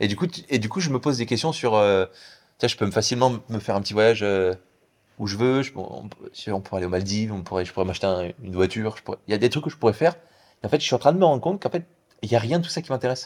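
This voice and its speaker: A man's very fast, lively speech broken by long, frequent pauses, on a very clean recording with a silent background. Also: medium pitch for a man. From France. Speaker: app developer and entrepreneur. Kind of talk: casual interview.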